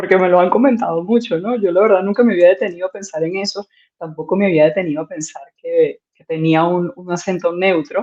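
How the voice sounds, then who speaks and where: Speaking fairly quickly with hardly any pauses, a woman at a medium pitch shows ordinary pitch variation and big swings in loudness. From Venezuela. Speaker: content creator. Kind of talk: interview conversation.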